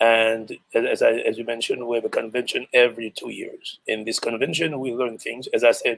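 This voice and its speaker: A man talks with a Haitian accent at a fairly quick pace. He uses hardly any pauses. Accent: Haitian Creole-accented English. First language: Haitian Creole. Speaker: music teacher and choir conductor. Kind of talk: interview. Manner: halting.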